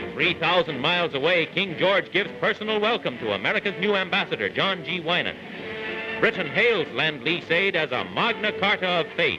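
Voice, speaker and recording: Over music in the background, a man with a high pitch speaks at a moderate pace in a dramatic tone with lively intonation. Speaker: newsreel narrator. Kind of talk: vintage newsreel narration. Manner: dramatic, brisk.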